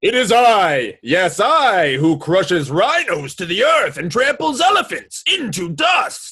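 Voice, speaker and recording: Loud and high-pitched, a man performs a put-on character voice. He goes at a fairly slow pace with hardly any pauses. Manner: boastful, bluffing.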